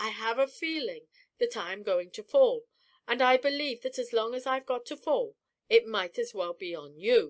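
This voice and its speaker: A woman puts on a raspy character voice, high-pitched and swinging widely in loudness, at a moderate pace, recorded dry and close with no echo against a quiet background. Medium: read story. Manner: stern, formal.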